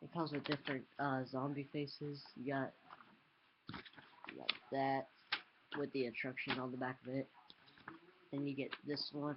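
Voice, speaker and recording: A man speaks at a moderate pace with a fairly high pitch. His intonation is monotone and flat, broken by long, frequent pauses. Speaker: amateur youtuber reviewing a toy blowdart gun. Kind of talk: casual product review and demo. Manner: halting, many fillers.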